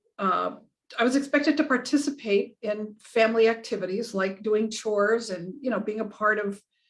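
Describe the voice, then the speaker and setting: A woman with an American accent, a fairly high pitch and a moderate pace. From Southern California. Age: 60s. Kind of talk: interview. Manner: halting.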